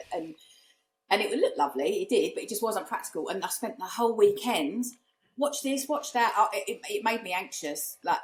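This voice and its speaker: Speaking at a fairly quick pace, a woman with a fairly high pitch and vocal fry makes very wide pitch swings. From East London / Essex, England. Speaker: short-term rental business owner and investor. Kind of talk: casual podcast interview. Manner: animated storytelling with many fillers.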